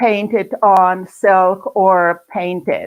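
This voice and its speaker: A woman with a German accent and fairly even intonation. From Germany. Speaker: art teacher. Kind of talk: online presentation. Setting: recorded video session. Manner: halting.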